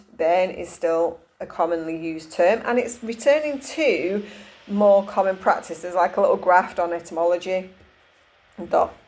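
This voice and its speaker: A woman speaks in a Cumbrian accent at a fairly low pitch. Her pitch moves with ordinary variation. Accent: northern English (Cumbrian). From northern England, Cumbria. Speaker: holistic therapist and energy healer. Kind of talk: casual talk to camera. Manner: hesitant, many fillers and restarts.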